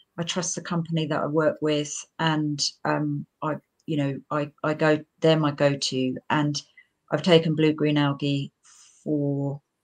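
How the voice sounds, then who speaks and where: Flat, monotone delivery at a fairly slow pace, dry and close with no echo, long frequent pauses over a quiet background. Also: woman, very deep, low pitch for a woman. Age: 60s. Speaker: homeopathic practitioner and teacher. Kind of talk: interview.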